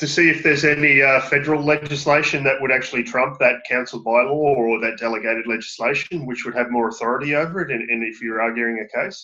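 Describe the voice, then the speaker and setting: A man talks at a very fast pace. His intonation is fairly even. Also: medium pitch for a man, hardly any pauses. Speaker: student. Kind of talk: class discussion question. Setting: video call. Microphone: video call.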